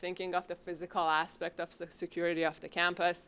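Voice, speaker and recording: A woman speaks loudly at a medium pitch and a moderate pace, her tone bright and sharp, in a very clean recording with a silent background. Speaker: psychology faculty member, subcommittee member. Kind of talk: conference presentation. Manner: casual, hesitant with fillers.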